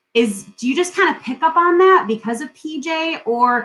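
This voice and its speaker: A woman speaks loudly. Her intonation is lively. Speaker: podcast host. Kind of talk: interview. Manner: talkative. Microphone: poor sound quality from technical difficulties.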